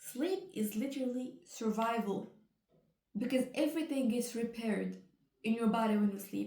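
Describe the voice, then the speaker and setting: With a non-native accent, a woman speaks at a moderate pace in a dark, mellow tone, her fairly high pitch showing ordinary variation. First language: not English. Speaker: educational video creator. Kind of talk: casual explainer while painting. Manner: casual, slightly halting.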